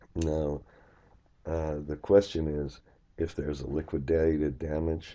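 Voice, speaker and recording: A man's very deep, low-pitched voice. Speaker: finance instructor. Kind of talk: tutorial. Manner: hesitant, many fillers.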